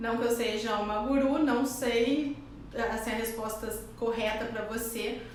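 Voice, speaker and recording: A woman with a high pitch speaks fairly slowly and with fairly even intonation, amid audible room echo and noticeable background noise. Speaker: YouTuber / wellness content creator. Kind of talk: casual vlog talk to camera.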